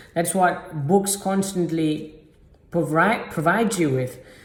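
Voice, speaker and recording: In a room with audible echo, a man talks at a very slow pace with a high pitch and ordinary pitch variation. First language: not English. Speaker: self-improvement YouTuber. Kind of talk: motivational talk to camera. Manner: halting, many fillers.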